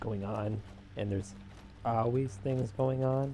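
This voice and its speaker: A man speaks quietly in a fairly low, somewhat breathy voice. His tone is dark and mellow. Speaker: gaming commentator. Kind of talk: gameplay commentary.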